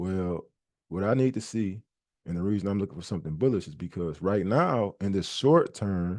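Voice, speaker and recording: The background is quiet. A man speaks at a fairly low pitch with ordinary pitch variation. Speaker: trading educator. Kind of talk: tutorial. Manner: fast, passionate.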